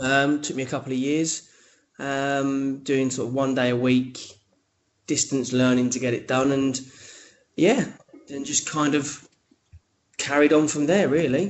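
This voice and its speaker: With a London accent, a man talks at a fairly slow pace in a fairly high pitch, keeping his intonation fairly even and leaving long, frequent pauses. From eastern England, Cambridgeshire. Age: 30s. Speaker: podcaster and radio host, teacher. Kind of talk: casual interview chat. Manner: hesitant, many fillers and repeats.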